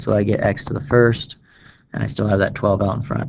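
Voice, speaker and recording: This man speaks in a medium pitch with ordinary pitch variation. His voice has vocal fry. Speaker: math teacher. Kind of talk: tutorial. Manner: fast; casual.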